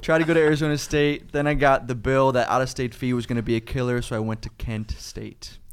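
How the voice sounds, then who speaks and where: A man with a Cleveland accent speaks at a very fast pace with hardly any pauses, at medium pitch and with fairly even intonation. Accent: Midwestern American (Cleveland area). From Ohio, Parma near Cleveland. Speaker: climbing gym owner, former social worker. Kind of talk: casual interview.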